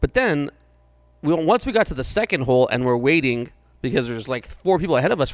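A man's fairly high voice, very fast, with very wide pitch swings. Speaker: podcast co-host. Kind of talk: casual banter podcast. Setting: in studio with host.

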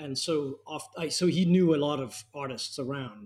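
The voice belongs to a man. It is fairly high in pitch and somewhat breathy. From Denmark. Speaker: art historian, museum curator. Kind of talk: long-form interview. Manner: halting, with many repetitions.

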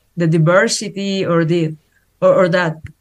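With a Spanish accent, a woman talks at a fairly slow pace. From Mexico. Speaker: actress. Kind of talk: interview. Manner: halting.

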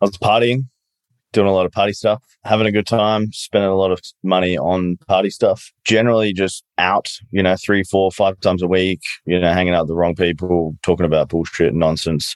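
Over a dry, close sound with no echo, a man with a very deep, low pitch talks at a fairly quick pace, his intonation fairly even and his loudness very even. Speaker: business owner and coach. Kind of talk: casual chat.

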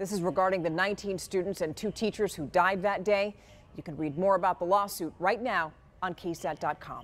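A woman speaks at a medium pitch and a moderate pace, her intonation fairly even. It is a plain, everyday voice. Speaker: news anchor. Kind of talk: TV newsreading, scripted evening broadcast. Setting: TV news studio. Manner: polished, brisk, crisp anchor delivery; conversational, warm, direct address to viewers.

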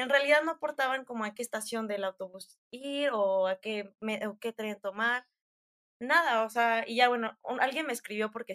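A woman's fairly high voice with a central Mexican accent, at a moderate pace, with ordinary pitch variation and a dry, close sound with no echo. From Mexico (Hidalgo, Querétaro). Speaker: traveler, student. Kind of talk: casual interview chat, travel storytelling. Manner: animated.

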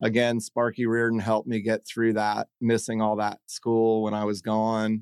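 Talking at a moderate pace with hardly any pauses, a man with an American accent keeps a medium pitch and a monotone, flat intonation in a dry, close sound with no echo. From South Carolina (Hilton Head Island). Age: 40s. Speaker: restaurant owner. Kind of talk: casual chat. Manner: halting, many fillers.

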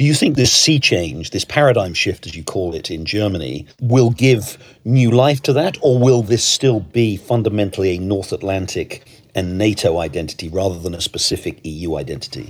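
A man speaks with a British accent at a moderate pace. His fairly low voice swings very widely in pitch. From Britain. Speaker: podcast host, newspaper editor. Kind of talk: interview.

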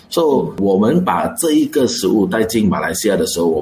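A man is speaking at medium pitch. He has an unremarkable speaking voice. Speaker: restaurant chain co-founder and executive director. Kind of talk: radio interview.

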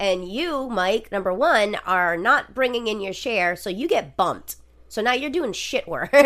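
A woman speaks at a fairly slow pace and a fairly high pitch with very wide pitch swings. Her tone is bright, sharp and animated. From Rhode Island. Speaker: podcast host. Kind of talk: casual chat, true crime storytelling. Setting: living room recording, at home. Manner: animated, jokey, profane.

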